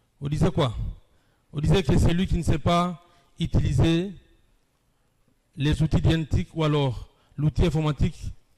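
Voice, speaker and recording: Fairly high-pitched and somewhat breathy, a man speaks in a dark, mellow tone at a fairly slow pace with long, frequent pauses, ordinary pitch variation and big swings in loudness. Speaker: academic lecturer. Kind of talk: lecture. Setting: university hall with live audience, streamed online.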